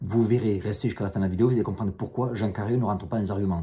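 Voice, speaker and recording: A man talks at a very fast pace with a fairly low pitch and a dark, mellow, somewhat breathy tone. The recording is very clean, with a silent background. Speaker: YouTuber, self-defense instructor. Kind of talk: casual vlog commentary, answering viewer comments. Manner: animated, blunt.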